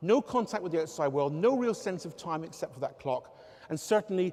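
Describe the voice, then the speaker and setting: At a fairly quick pace, a man with a southwest English accent speaks in a high pitch with lively intonation. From southwest England, Devon area. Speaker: researcher and engineering academic. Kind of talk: public talk. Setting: stage with audience.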